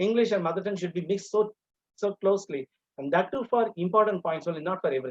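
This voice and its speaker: A man with a Tamil Indian accent talks very fast at a high pitch with ordinary pitch variation. The sound is dry and close, with no echo. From Tamil Nadu, India. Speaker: English teacher educator. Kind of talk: lecture. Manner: halting, many fillers.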